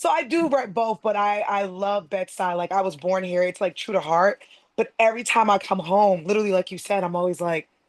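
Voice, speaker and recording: With an American accent, a woman at medium pitch talks fairly quickly, using ordinary pitch variation. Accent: strong New York accent with some Boston. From Brooklyn, New York and Boston. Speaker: entertainment interviewer. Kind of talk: interview. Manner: enthusiastic.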